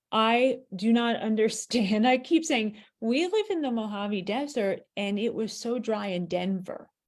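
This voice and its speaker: Fairly high in pitch, a woman with an American accent has a normal speaking voice on a very clean recording with a silent background. She goes at a fairly slow pace with hardly any pauses. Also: ordinary pitch variation. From US East Coast. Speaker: author and chat host. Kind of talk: casual chat.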